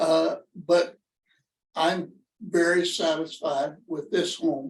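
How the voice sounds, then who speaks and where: Speaking very slowly, a man uses a high pitch. His intonation is monotone and flat. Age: 80s+. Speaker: veterans home resident. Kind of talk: personal testimony. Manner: halting.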